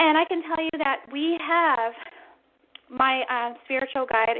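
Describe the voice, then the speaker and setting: A woman speaks, her pitch varying in an ordinary way. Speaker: psychic medium radio host. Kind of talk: radio show monologue. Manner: fast; animated.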